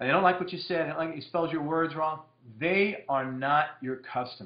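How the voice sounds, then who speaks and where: This man talks loudly, his high voice rising and falling in an ordinary way. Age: 40s. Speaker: direct marketing copywriter. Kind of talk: casual monologue Q&A. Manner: fast.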